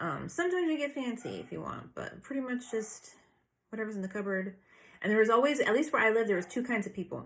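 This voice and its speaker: Fairly high-pitched woman's voice, somewhat breathy, with lively intonation and a calm, relaxed tone. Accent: American. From United States. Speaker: lifestyle vlogger. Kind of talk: casual chat. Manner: frequent fillers, meandering.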